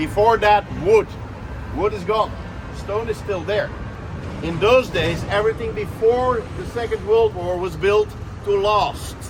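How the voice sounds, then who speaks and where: Speaking at a fairly slow pace with long, frequent pauses, a man with a high pitch keeps his intonation fairly even over noticeable background noise. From Belgium, Brussels. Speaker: tour guide. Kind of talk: guided walking tour. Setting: outdoors, city square.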